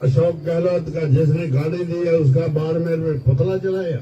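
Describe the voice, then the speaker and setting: A man's fairly high voice with fairly even intonation, set in audible room echo. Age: 80s+. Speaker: politician. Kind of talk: political rally speech. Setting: gathering at his residence with supporters.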